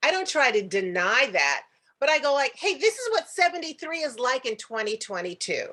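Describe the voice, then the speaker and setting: A woman speaks at a moderate pace in a high, raised and projected voice, her pitch swinging very widely. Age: 70s. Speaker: actress. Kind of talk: casual chat.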